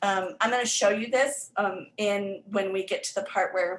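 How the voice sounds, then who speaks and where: A medium-pitched woman with an American accent and ordinary pitch variation. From Florida, US. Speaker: literacy tutor and learning center owner. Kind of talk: presentation workshop. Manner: hesitant with many fillers.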